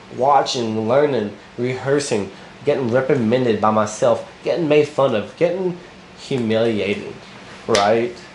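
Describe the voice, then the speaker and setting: Over noticeable background noise and audible room echo, a man talks with an animated tone at a fairly slow pace. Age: 30s. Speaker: motivational vlogger. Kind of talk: unscripted motivational monologue. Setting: recording to camera.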